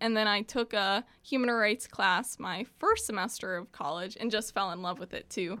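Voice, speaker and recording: A woman's fairly high, bright, sharp voice with an American accent and ordinary pitch variation. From Evanston, Illinois, US Midwest. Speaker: college student and community organizer. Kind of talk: casual interview.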